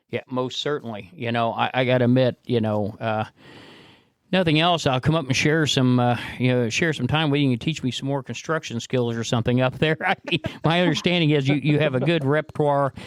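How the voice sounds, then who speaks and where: An unremarkable speaking voice moves at a fairly quick pace with ordinary pitch variation, recorded dry and close with no echo. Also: man, medium pitch for a man. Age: 60s. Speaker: podcast host. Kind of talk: casual interview chat.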